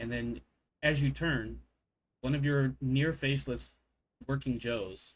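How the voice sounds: Behind the speaker, the background is quiet. The reading voice sounds natural.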